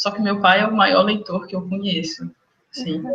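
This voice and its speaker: At a moderate pace, a woman speaks in a medium pitch with ordinary pitch variation. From interior of Minas Gerais, Brazil (near Goiás border). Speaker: medical student. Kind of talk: interview.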